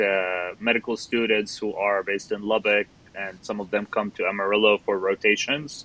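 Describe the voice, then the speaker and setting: In an Arabic accent, a man talks at a moderate pace with a fairly low pitch. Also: dry, close sound with no echo. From Middle East (Jordanian, raised in Qatar). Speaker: surgical fellow. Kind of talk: interview.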